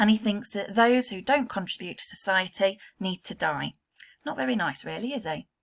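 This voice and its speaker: Speaking with an English accent, a woman moves at a fairly quick pace, her medium pitch rising and falling in an ordinary way. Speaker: secondary school English teacher. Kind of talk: recorded remote lesson. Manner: fast.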